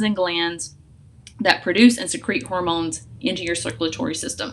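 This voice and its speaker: A woman is speaking. Her intonation is lively. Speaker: essential oils educator. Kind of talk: tutorial. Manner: fast; casual with filler words.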